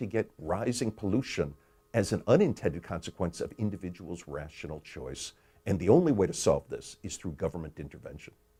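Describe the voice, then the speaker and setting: The voice is dark, mellow and somewhat breathy, with very wide pitch swings, on a very clean recording with a silent background. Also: man. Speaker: economist and author. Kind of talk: explanatory talk about his book.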